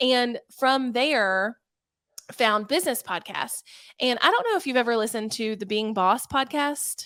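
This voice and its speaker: A woman's high, bright, sharp voice with ordinary pitch variation at a fairly slow pace, on a very clean recording with a silent background. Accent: Southern US. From US South. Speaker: online entrepreneur and youtuber. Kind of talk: interview. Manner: casual, chatty.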